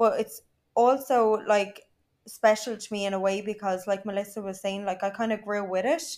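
A woman with an Irish accent speaks at a moderate pace, her pitch medium and her intonation fairly even. The recording is very clean, with a silent background. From Ireland. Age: 20s. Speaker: social media influencer. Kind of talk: casual chat.

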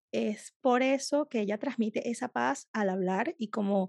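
In a very clean recording with a silent background and a dry, close sound with no echo, a woman speaks at a fairly high pitch with a dark, mellow tone and ordinary pitch variation. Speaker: podcast host, food photographer. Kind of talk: interview. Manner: animated.

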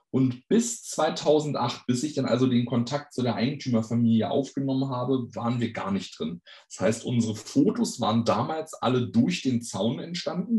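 A plain, everyday voice, moderately paced and with ordinary pitch variation. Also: man, hardly any pauses. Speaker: fan website operator and tour guide. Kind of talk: podcast interview.

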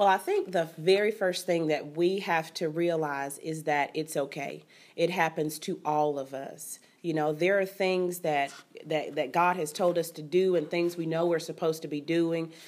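A woman with a Southern US accent speaks at a moderate pace. Her pitch is fairly low and her intonation fairly even. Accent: Southern US (Georgia). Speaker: teacher and author. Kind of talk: interview. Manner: eloquent.

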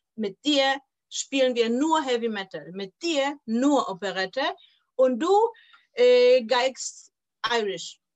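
A woman with a Polish accent speaks at a very slow pace with long, frequent pauses. Her voice is high, with lively intonation. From Poland (Poznań). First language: Polish (speaking German). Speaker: violin teacher. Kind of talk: interview.

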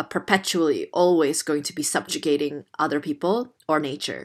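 In a very clean recording with a silent background, a woman with an American accent talks fairly slowly in a very deep, low voice. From Indonesia (Jakarta). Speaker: theatre artist. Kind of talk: interview.

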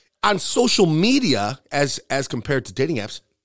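The voice carries vocal fry and an animated tone. Its pitch swings very widely. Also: man, very clean recording, silent background. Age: 40s. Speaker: podcast host and bartender. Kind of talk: casual chat.

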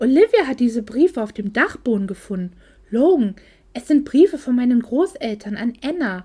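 A woman talks at a high pitch and fairly slow pace. Her pitch swings very widely. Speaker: author reading her own novel aloud. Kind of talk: reading aloud. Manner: unobtrusive voice.

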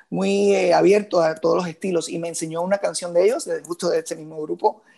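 Over music in the background, a man with a Puerto Rican accent talks at a fairly quick pace. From Puerto Rico, Moca. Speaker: musician and composer. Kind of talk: interview conversation.

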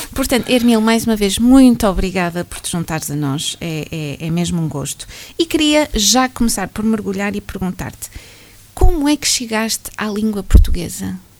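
A woman at a medium pitch and moderate pace, with very wide pitch swings and big swings in loudness. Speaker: radio host. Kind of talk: radio interview.

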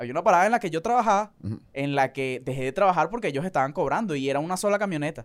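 A man with a Caracas accent talks at a very fast pace with hardly any pauses, his fairly high voice carrying lively intonation. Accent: Venezuelan Caracas-area Spanish. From Venezuela, Valles del Tuy. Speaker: street vendor and content creator. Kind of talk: casual chat.

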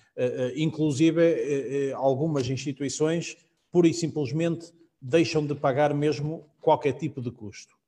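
Dark and mellow in tone, a man's somewhat breathy voice moves at a fairly slow pace with fairly even intonation. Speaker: real estate agent. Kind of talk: live-streamed casual panel chat. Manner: halting, repeats words.

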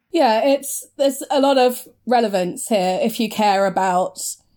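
A woman's voice, dark and mellow in tone, on a very clean recording with a silent background. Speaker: podcast co-host. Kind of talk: casual discussion podcast.

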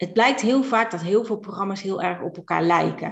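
A woman with a normal speaking voice, medium pitch and ordinary pitch variation at a moderate pace. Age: 50s. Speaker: virtual assistant, entrepreneur. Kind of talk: casual interview.

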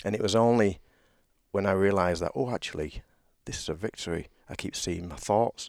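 In a very clean recording with a silent background and a dry, close sound without echo, a man with a British accent talks at a fairly quick pace and fairly low pitch, with ordinary pitch variation and long, frequent pauses. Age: 50s. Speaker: men's leadership coach. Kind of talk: casual chat.

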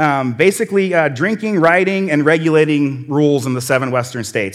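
Animated and lively in intonation, a man with an American accent speaks fairly quickly at a fairly high pitch. The recording is very clean, with a silent background. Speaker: church lay speaker. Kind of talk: sermon. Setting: stage with audience. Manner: fast.

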